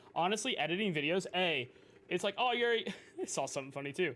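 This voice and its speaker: A man talks very quickly while music plays behind him. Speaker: video game streamer. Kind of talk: casual live-stream chat. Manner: relaxed.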